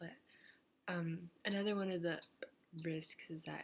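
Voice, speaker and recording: At a moderate pace, a woman speaks in a somewhat breathy, fairly low voice with monotone, flat intonation. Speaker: vlogger. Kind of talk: casual vlog monologue. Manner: rambling, halting.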